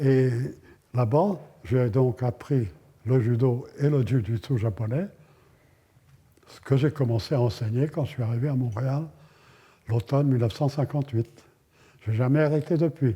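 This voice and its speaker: A somewhat breathy man at medium pitch talks at a fairly slow pace with ordinary pitch variation, big swings in loudness, and long, frequent pauses. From France. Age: 90s. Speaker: martial arts master. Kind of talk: documentary interview.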